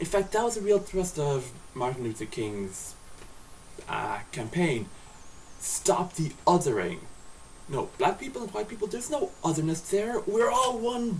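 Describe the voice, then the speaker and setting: Against noticeable background noise, a high-pitched man speaks at a fairly slow pace with very wide pitch swings and long, frequent pauses. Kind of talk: casual talk to camera. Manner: slurred.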